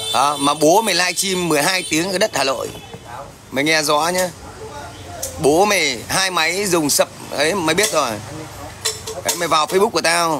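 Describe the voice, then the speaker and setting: There is noticeable background noise as a man with a high voice speaks at a fairly slow pace. He uses ordinary pitch variation and takes long, frequent pauses. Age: 40s. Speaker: livestreamer. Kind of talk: livestream chat and heated rant at viewers. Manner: confrontational, loud. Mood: confrontational, taunting. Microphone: phone near.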